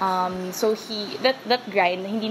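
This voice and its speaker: Noticeable background noise accompanies a woman speaking with fairly even intonation. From Philippines, Quezon City; Philippines. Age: 20s. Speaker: ultimate frisbee player. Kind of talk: interview monologue. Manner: casual, filler-heavy (um, parang).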